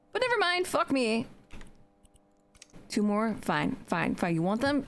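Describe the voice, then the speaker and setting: A woman with a fairly high pitch speaks in an animated tone, her pitch swinging very widely, with noticeable background noise. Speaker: video game streamer. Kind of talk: casual live stream chat while gaming.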